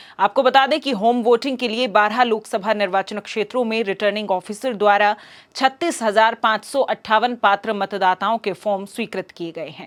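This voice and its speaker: A woman with a plain, everyday voice speaks at a fairly high pitch with ordinary pitch variation, big swings in loudness and hardly any pauses. The recording is very clean with a silent background and a dry, close sound with no echo. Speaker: news anchor. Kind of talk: news reading. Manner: formal.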